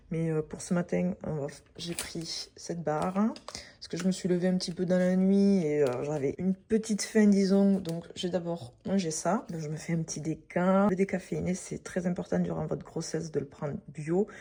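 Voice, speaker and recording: Soft-spoken and somewhat breathy, a woman talks in a dark, mellow tone at a fairly low pitch with ordinary pitch variation. Her pace is moderate, with hardly any pauses. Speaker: pregnant fitness vlogger. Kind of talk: casual vlog. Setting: at home, apartment mid-move. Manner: halting with many fillers.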